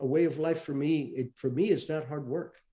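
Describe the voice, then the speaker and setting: This man speaks at a fairly high pitch, his tone dark and mellow. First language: Spanish. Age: 70s. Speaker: retired intelligence officer and author. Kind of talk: interview. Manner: halting, many fillers.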